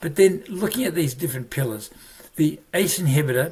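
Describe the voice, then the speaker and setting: A man speaks at a very fast pace with an Australian accent. His voice is somewhat breathy, with ordinary pitch variation. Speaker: family physician, medical educator. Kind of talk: medical lecture. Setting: virtual presentation.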